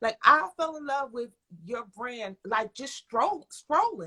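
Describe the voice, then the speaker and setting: A woman's high, bright and sharp American-accented voice, animated and raised to carry, at a fairly slow pace, with a dry, close sound and no echo. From Philadelphia. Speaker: live show host. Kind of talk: livestream interview.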